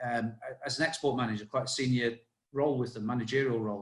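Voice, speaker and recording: This man's voice comes across as somewhat breathy. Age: 50s. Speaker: army veteran. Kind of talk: casual chat. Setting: podcast interview. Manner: halting.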